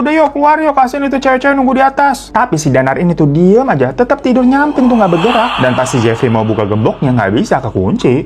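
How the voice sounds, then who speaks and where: Very fast speech over noticeable background noise. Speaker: horror story narrator and mukbang streamer. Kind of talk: horror storytelling, casual talk to camera.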